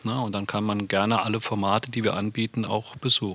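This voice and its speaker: The recording is dry and close, with no echo. A man talks at a fairly quick pace in a normal speaking voice with a fairly low pitch. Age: 50s. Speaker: head of a company training center. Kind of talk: casual chat.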